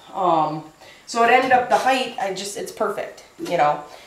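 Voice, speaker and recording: Delivered at a moderate pace, the speech carries audible room echo and light background noise. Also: woman. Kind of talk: casual vlog chat. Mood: relaxed, light laughter. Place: workshop. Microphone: camera far.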